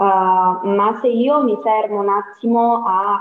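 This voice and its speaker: A woman with a Calabrian accent speaks very slowly, her intonation fairly even. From Calabria, southern Italy. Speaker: psychologist. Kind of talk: casual chat.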